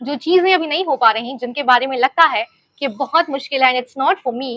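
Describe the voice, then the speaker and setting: In a dry, close recording with no echo, a woman with high pitch uses a raised, projected voice and lively intonation. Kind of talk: personal story, casual talk to camera. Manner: reflective, sincere.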